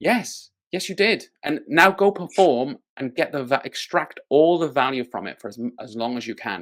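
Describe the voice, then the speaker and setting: A man with a Welsh accent, fairly high in pitch, with very wide pitch swings, big swings in loudness, a moderate pace and hardly any pauses, on a very clean recording with a silent background. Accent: unique Welsh. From Wales. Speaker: magic company executive. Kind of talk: casual interview chat.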